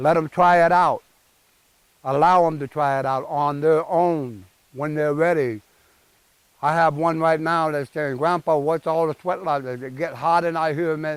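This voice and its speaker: Fairly slow speech from a man in an ordinary speaking voice, fairly high in pitch, with fairly even intonation. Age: 60s. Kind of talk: speaking to a gathering about tradition. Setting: outdoors at a sweat lodge. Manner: informal, earnest.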